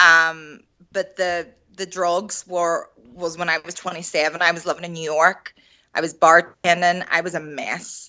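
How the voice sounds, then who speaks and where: A woman's fairly low voice in a Northern Irish accent, fairly slow and monotone, flat in intonation, with big swings in loudness. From Northern Ireland, Derry. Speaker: recovering alcoholic and artist. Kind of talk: interview.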